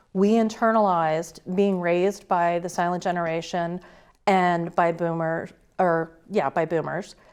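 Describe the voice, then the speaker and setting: Against a quiet background, a woman with a plain, everyday voice speaks fairly slowly at a fairly low pitch. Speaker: guest commentator. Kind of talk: interview.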